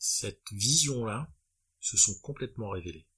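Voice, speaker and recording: On a very clean recording with a silent background, a man has an unremarkable speaking voice, medium in pitch with ordinary pitch variation. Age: 30s. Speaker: business owner. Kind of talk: interview.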